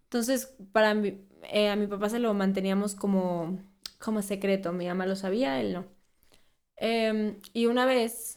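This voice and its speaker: A woman with a Mexican accent speaks at a fairly slow pace and a medium pitch, her intonation fairly even, on a very clean recording with a silent background. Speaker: beauty content creator. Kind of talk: casual interview.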